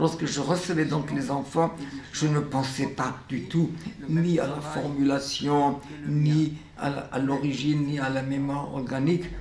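Noticeable background noise sits behind a man with a fairly high pitch. He talks at a fairly slow pace in a monotone, flat intonation. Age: 90s. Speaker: educator, founder of a children's painting studio; educator. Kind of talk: documentary interview monologue.

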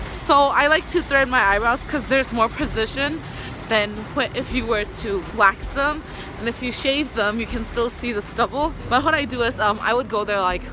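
A woman speaks at a high pitch with ordinary pitch variation and a moderate pace. There is noticeable background noise, and the sound is dry with no echo. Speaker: vlogger. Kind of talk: casual vlog chat. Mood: cheerful, laughing. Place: street. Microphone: phone near.

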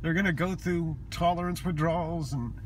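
A man at a moderate pace, fairly even intonation and vocal fry, dry sound with no echo, light background noise. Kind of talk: emotional personal vlog confession. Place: car. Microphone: phone near.

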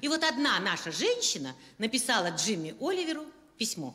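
A woman's raised, projected voice with very wide pitch swings. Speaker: comic performer. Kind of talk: comic monologue. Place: stage. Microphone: handheld.

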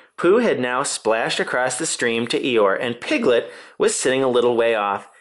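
Unforced voice, reading a text

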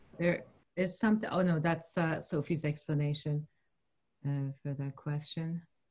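A woman speaks with a somewhat breathy voice and fairly even intonation. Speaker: publisher and reading host; reading host. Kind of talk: hosting a poetry reading. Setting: video call. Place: home room. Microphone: webcam.

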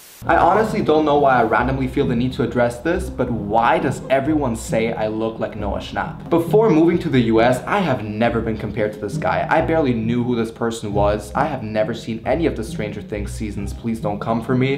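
A man talks with hardly any pauses against noticeable background noise. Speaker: vlogger. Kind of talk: casual vlog chat. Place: kitchen. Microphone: camera far.

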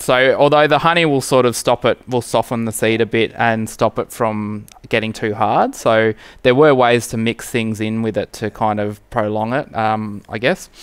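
At a moderate pace and with few pauses, a man speaks with a clear, smooth tone, fairly even intonation and fairly low pitch.

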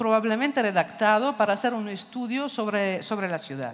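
A woman with an Italian accent against a quiet background. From Italy. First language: Italian (speaking Spanish). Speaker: architecture foundation director; speaker. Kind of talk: lecture. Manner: halting, many fillers. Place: stage. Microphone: headset.

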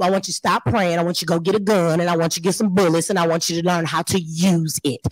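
Over faint music in the background, a woman with a fairly low pitch talks at a very fast pace, with a dry sound and no echo. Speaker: panelist. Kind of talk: panel discussion. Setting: stage with audience. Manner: emphatic. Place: hall. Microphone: handheld.

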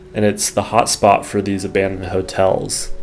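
A man's fairly low voice with music playing in the background. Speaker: history vlogger narrating. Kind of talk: documentary narration. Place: studio.

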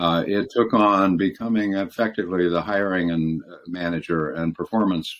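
Here is a man with an American accent. His pitch is very deep and low, and his intonation is fairly even. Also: moderate pace. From US, California and Michigan. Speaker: former law firm partner and leadership consultant; interview guest. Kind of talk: interview. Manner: halting. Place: home room. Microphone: video call.

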